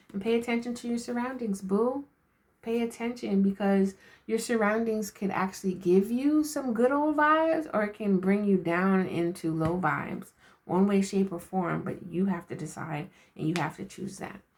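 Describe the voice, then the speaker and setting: With lively intonation and a medium pitch, a woman speaks at a moderate pace in a somewhat breathy voice. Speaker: spiritual card reader and self-care coach. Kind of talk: inspirational message to camera. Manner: casual, laughing.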